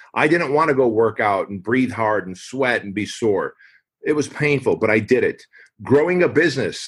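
A man with a plain, everyday voice speaks fairly quickly, his pitch varying in an ordinary way. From US (immigrated from Armenia at age six). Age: 40s. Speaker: fitness franchise founder and author. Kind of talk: podcast interview.

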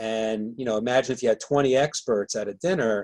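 Here a man speaks in an unremarkable speaking voice at medium pitch. His pace is moderate and his pitch variation ordinary. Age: 60s. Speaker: author and business mentor. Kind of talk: interview.

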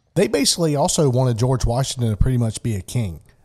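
The recording is very clean, with a silent background. A man speaks in a dark, mellow, somewhat breathy voice with ordinary pitch variation. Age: 50s. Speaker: podcast host. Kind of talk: casual chat.

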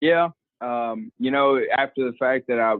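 With a Southern US accent, a man talks in fairly even intonation. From US South, coastal Mississippi. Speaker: college football equipment manager and coach, former athlete. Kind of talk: interview. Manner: halting, many fillers and repeated words.

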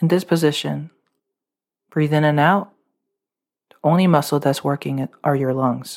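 In a very clean recording with a silent background, the voice keeps a calm tone broken by long, frequent pauses. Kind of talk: guided meditation. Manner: instructional, calm, rhythmic, repeating 'tight, tight, tight' before a release.

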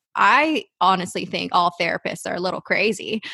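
Against a quiet background, a woman with vocal fry and a bright, sharp tone speaks at a moderate pace, the sound dry and close with no echo. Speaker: therapist and podcast co-host. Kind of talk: casual chat. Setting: video call.

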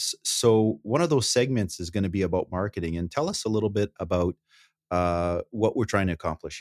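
A man talks at a fairly quick pace in an ordinary speaking voice, fairly low, with ordinary pitch variation. His loudness swings widely, and the sound is dry and close with no echo. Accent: Canadian. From Northern Ontario, Canada. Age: 40s. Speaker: financial planner, co-host. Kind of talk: casual chat. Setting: video call.

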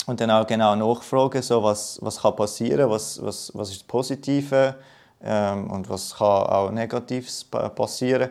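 The man's intonation stays fairly even. He talks at a medium pitch. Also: fairly slow pace. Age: 20s. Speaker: cancer patient. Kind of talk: interview. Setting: outdoors. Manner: halting.

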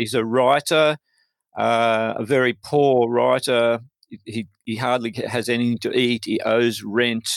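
A man with an Australian accent, fairly slow and fairly even in intonation, in a very clean recording with a silent background and a dry, close sound with no echo. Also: medium pitch for a man. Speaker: poet. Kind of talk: interview.

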